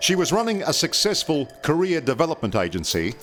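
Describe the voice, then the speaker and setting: Over music in the background, a man with a fairly high pitch talks at a moderate pace, his voice making very wide pitch swings. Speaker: TV reporter. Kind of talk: TV documentary narration.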